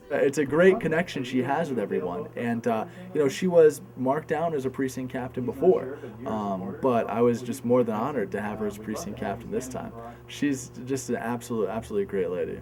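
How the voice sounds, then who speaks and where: Noticeable background noise sits behind a man talking at a fairly quick pace, his medium pitch moving with ordinary variation. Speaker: campaign organizer. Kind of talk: interview answer.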